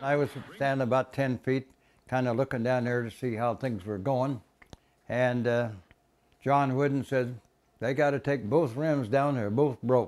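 With a Midwestern American accent, a man speaks at a moderate pace and with fairly even intonation, leaving long, frequent pauses. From Illinois. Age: 80s+. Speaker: inventor, retired grain elevator manager. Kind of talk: interview answer. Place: home room. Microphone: lapel.

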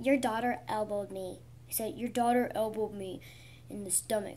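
A woman puts on a character voice with a fairly high pitch and big swings in loudness over clear background noise. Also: moderate pace. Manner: sassy, complaining.

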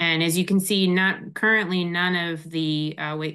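A woman talks with fairly even intonation. The background is quiet. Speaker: air quality policy advisor; presenter. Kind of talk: technical presentation. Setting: video call. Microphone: video call.

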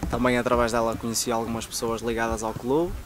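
A man speaks over noticeable background noise. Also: dry sound with no echo. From northern Portugal, Braga. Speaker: footballer. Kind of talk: interview. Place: open country.

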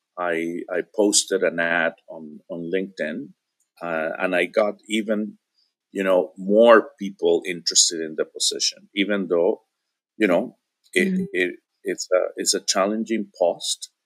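A man speaks at a fairly slow pace. Behind him, the background stays quiet. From Venezuela. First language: Spanish. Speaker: interview guest. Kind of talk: casual chat. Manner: halting, many repetitions. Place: home room.

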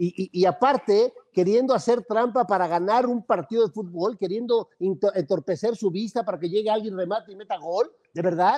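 Dry and close with no echo, the recording holds a man's high-pitched voice in a dark, mellow tone. He talks at a moderate pace with ordinary pitch variation and hardly any pauses. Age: 60s. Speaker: football pundit. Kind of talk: heated sports debate.

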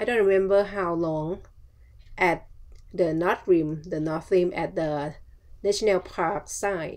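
A woman with a Thai accent, fairly low pitch, fairly even intonation, a very slow pace and long, frequent pauses. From Thailand. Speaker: travel vlogger. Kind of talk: casual vlog narration.

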